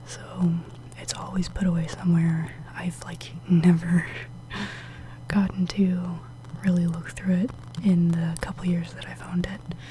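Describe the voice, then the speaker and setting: A soft-spoken whisper moves at a fairly slow pace against noticeable background noise. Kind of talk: ASMR show and tell, soft spoken. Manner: soft-spoken, whispering.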